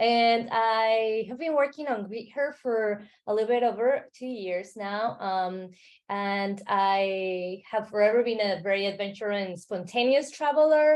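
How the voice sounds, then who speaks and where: At a fairly slow pace, a woman talks with a Mexican accent and a fairly high pitch. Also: ordinary pitch variation. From Mexico City, Mexico. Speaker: travel startup founder. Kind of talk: interview.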